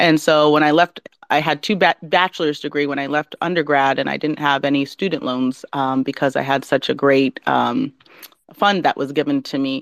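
A woman talks fairly quickly, her pitch very deep and low with vocal fry. The sound is dry and close, with no echo. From Southeast Alaska village. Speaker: tech entrepreneur, CEO. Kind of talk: interview. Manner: flowing; animated.

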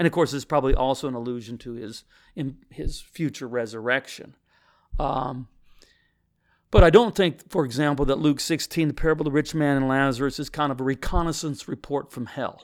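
In an ordinary speaking voice with an American accent, a man talks at a fairly quick pace and fairly high pitch, with ordinary pitch variation and big swings in loudness, on a very clean recording with a silent background. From US Midwest, Missouri. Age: 60s. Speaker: pastor. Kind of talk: interview conversation.

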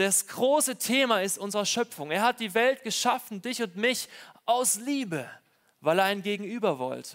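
A man speaks at a moderate pace. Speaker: preacher. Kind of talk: sermon. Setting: church with congregation. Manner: warm, personal, earnest preacher's delivery; conversational, direct address to congregation.

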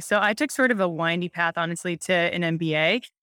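A woman with an American accent talks at a very fast pace, with a bright, sharp tone and medium pitch. The recording is very clean, with a silent background and a dry, close sound with no echo. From Montana, US. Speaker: venture capital investor. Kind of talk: interview. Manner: animated.

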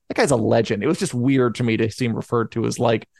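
Talking at a very fast pace, a man uses a medium pitch with vocal fry. The sound is dry and close with no echo, over a quiet background. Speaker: podcast host. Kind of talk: casual chat. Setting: live online show.

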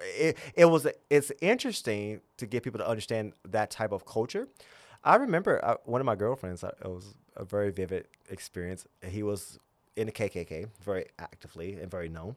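Speaking in a Southern US accent, a man has a fairly low pitch and a fairly quick pace. The recording is very clean, with a silent background. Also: lively intonation, big swings in loudness. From US South, southern Virginia. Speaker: spiritual guide and religious founder. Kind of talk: casual conversational interview.

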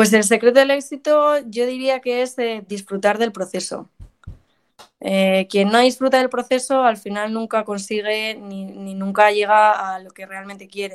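Using an ordinary speaking voice, a woman talks at a fairly high pitch with big swings in loudness. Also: fairly even intonation. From Madrid, Spain. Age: 20s. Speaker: professional golfer. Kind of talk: interview.

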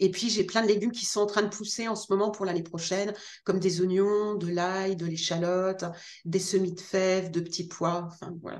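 A woman's monotone, flat delivery at a moderate pace, with audible room echo. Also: medium pitch for a woman. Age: 50s. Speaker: gardening author. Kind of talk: interview. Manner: hesitant, many fillers and repetitions.

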